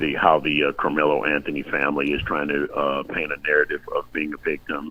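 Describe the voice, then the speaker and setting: The speech moves at a moderate pace with monotone, flat intonation over noticeable background noise. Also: man. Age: 60s. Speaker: podcast guest, retiree. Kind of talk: casual chat. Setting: live online stream. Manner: halting.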